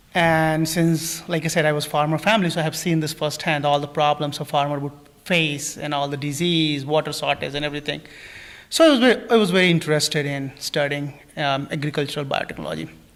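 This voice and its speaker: Talking at a very fast pace, a man with an Indian accent keeps his fairly high voice at a fairly even intonation. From India, New Delhi. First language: not English. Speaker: plant scientist. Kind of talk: interview. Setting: live stream studio. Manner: halting, many fillers.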